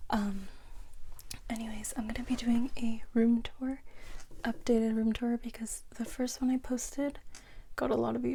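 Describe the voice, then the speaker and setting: A woman whispers at a moderate pace. Her delivery is soft-spoken. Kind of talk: casual talk to camera. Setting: bedroom, room tour. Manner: soft-spoken, chatty, whispery.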